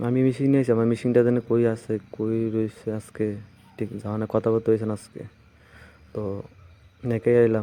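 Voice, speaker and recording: His intonation is monotone and flat. This man's pitch sits in the medium range. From Tripura, India. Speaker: vlogger. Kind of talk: walking vlog narration. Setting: outdoors. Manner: casual, fragmented.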